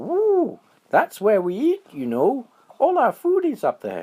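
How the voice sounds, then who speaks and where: Putting on a character voice, a man speaks fairly slowly at an extremely high pitch. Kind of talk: bedtime story. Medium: read story.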